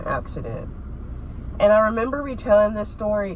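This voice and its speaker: With an American accent and an animated tone, a woman talks at a moderate pace amid noticeable background noise and audible room echo. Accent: sounds more country when sick. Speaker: vlogger. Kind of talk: casual chat.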